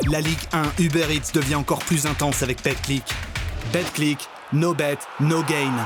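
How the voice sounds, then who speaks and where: A man's fairly high voice in a monotone, flat intonation, at a fairly slow pace with long, frequent pauses, very even loudness, and music in the background. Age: 20s. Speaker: voice actor. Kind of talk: TV commercial read.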